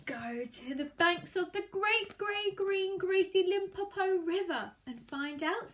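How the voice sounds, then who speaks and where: A woman's put-on character voice, extremely high-pitched, at a fairly slow pace. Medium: read story.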